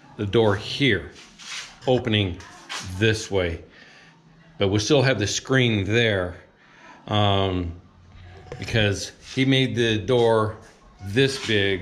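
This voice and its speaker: With faint music in the background, a man speaks very slowly in a fairly low pitch, his intonation fairly even and his pauses long and frequent. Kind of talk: casual vlog chat. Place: home room. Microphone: phone near.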